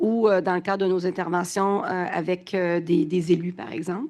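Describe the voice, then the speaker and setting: A woman speaks in a medium pitch. Her pitch variation is ordinary. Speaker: business association president. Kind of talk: panel discussion. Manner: hesitant, many fillers.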